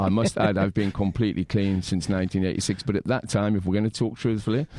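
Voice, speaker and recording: A man's very fast, fairly low-pitched voice in an English accent, dark and mellow in tone, with very even loudness, fairly even intonation and a dry, close sound with no echo. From England. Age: 50s. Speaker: punk musician. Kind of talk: interview. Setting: studio.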